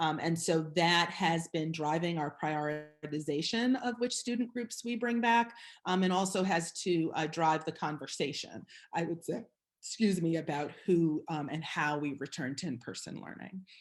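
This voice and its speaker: With a plain, everyday voice, a woman speaks at a moderate pace with a fairly low pitch and lively intonation. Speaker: school district chief executive. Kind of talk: presentation with slides. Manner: many filler words.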